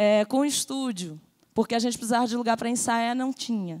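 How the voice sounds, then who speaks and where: A woman speaks at a fairly quick pace in a high voice with ordinary pitch variation, on a very clean recording with a silent background. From Rio Grande do Norte, Brazil (Natal). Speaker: festival producer and musician. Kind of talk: panel discussion.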